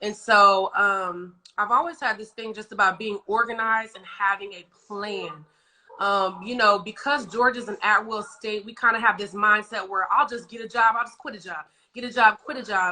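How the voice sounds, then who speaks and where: A woman's bright, sharp tone at a moderate pace, with big swings in loudness. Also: fairly high pitch for a woman, ordinary pitch variation. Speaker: nail technician and instructor. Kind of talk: interview.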